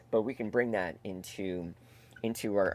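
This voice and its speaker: A man with a Canadian accent speaks at a moderate pace in an unremarkable speaking voice, his pitch fairly low with ordinary variation. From Canada, Toronto area (Etobicoke). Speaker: comedian and improv performer. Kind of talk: casual interview chat. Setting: video call.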